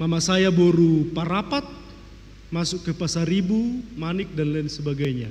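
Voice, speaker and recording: A man speaks at a fairly slow pace in a high pitch, with ordinary pitch variation. Audible room echo surrounds his voice. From North Sumatra, Tarutung (Batak Toba). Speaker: pastor. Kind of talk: sermon.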